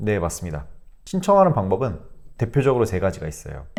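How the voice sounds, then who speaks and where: A man's voice over background music. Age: 30s. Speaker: social worker. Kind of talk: interview answer.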